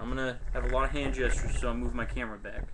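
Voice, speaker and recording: Audible room echo surrounds a man as he speaks. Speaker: webcam vlogger. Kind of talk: casual advice vlog. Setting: webcam recording. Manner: loud, projected voice.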